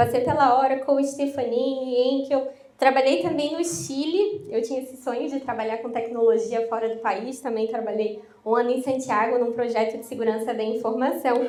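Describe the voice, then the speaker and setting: Amid noticeable background noise and audible room echo, a woman speaks at a moderate pace in a high, animated voice with ordinary pitch variation. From southern Brazil, Florianópolis. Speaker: IT consultant, workshop presenter. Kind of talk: workshop presentation. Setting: live workshop with audience. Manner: casual, animated.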